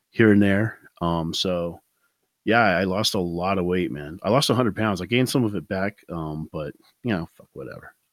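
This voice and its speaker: A man speaks at a fairly low pitch and fairly quick pace with ordinary pitch variation, in a dry, close sound with no echo. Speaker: musician and returning podcast guest. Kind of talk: casual chat. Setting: remote call from home. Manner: soft-spoken; halting.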